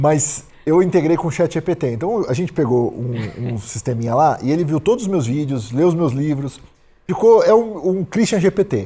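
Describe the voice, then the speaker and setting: A man with a fairly high pitch and a dark, mellow tone swings his pitch very widely. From Brazil, Santos (São Paulo state). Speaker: productivity author and entrepreneur. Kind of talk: casual podcast interview. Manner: fast; direct, objective.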